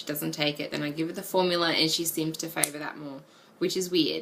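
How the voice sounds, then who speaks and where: Over noticeable background noise, a woman speaks with very deep, low pitch. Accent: Australian. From Australia. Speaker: vlogger. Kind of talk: casual chat. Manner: hesitant, many ums.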